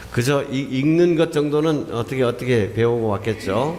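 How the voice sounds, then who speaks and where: A man's intonation is lively, with an audible echo from the room and noticeable noise in the background. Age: 60s. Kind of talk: sermon.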